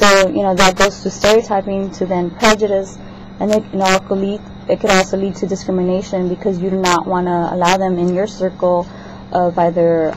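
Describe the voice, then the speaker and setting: With noticeable background noise, a woman speaks at a fairly quick pace in a monotone, flat way. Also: medium pitch for a woman. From South America. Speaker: student. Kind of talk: class assignment vlog. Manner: halting, many fillers.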